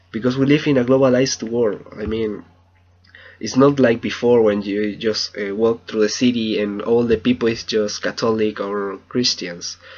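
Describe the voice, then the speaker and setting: A man is speaking. He has a Spanish accent and a medium pitch. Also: fairly even intonation, moderate pace. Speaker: language student. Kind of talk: video journal. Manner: halting.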